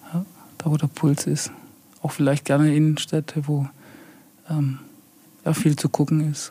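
Somewhat breathy and dark, mellow in tone, a man speaks at a fairly slow pace and fairly high pitch in a monotone, flat way, with long, frequent pauses. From Heilbronn, Baden-Württemberg. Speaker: head of a city property and urban renewal office. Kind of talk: podcast interview.

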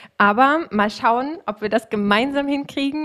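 A plain, everyday voice from a woman, at a fairly slow pace with ordinary pitch variation. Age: 30s. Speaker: podcast host and coach for self-employed women. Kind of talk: casual chat.

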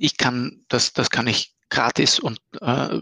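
A man's bright, sharp tone with vocal fry and a dry, close sound with no echo. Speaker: startup founder and CEO. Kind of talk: interview about his software product.

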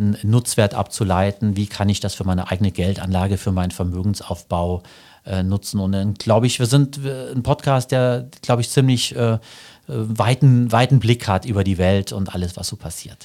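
On a very clean recording with a silent background, a man with a fairly low, dark, mellow voice speaks at a moderate pace with ordinary pitch variation. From Germany, Saarland. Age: 50s. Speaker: financial journalist. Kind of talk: interview.

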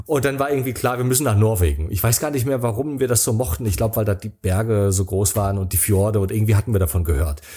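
A man's fairly low, dark, mellow voice, somewhat breathy, at a very fast pace with hardly any pauses. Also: lively intonation. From East Germany, Rostock. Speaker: travel speaker and author. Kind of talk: casual interview. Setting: remote call.

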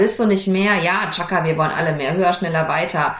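A woman's fairly low voice with ordinary pitch variation, audible room echo and noticeable background noise. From Germany, rural farm upbringing. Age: 40s. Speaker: lawyer and entrepreneur, podcast host. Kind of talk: solo podcast monologue. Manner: casual, lively.

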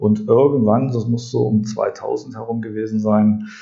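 Here a man speaks at a medium pitch with a dark, mellow tone. The pace is fairly slow. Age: 40s. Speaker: podcast host and drinking water consultant. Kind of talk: monologue podcast. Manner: animated; frequent filler sounds.

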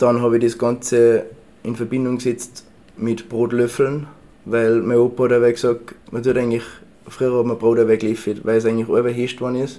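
A man with a Tyrolean accent speaks at a medium pitch in a dark, mellow tone, with monotone, flat intonation. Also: moderate pace. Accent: Tyrolean Austrian German. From Tyrol, Austria. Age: 20s. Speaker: baker and bread sommelier. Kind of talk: casual interview. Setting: in his café.

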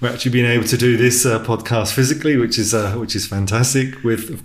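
Noticeable background noise sits behind a man with an English accent. His pitch is medium and his pace very fast. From England. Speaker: podcast host. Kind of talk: interview conversation. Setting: in person, same room.

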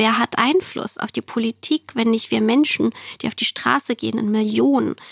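A woman talks at a moderate pace and fairly high pitch, in an unremarkable speaking voice. The sound is dry and close, with no echo. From former Soviet Union, raised in Germany from age 5-6. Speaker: entrepreneur and climate activist. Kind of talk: interview.

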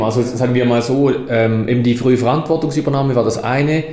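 Speaking at a fairly quick pace with hardly any pauses, a man keeps a medium pitch and fairly even intonation. Audible room echo and noticeable background noise surround him. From Switzerland, Toggenburg (St. Gallen). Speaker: mayor and politician. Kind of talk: interview conversation. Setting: town hall office.

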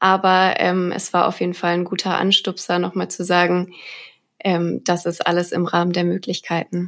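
Her pitch is fairly low for a woman, and she keeps a moderate pace. The intonation stays monotone and flat. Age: 20s. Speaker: data engineer. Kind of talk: casual interview. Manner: hesitant, many fillers.

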